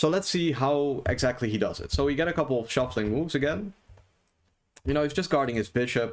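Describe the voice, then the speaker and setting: In a non-native accent, a man talks at a very fast pace with ordinary pitch variation. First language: not English. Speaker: chess streamer. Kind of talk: live stream game commentary. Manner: casual, many fillers.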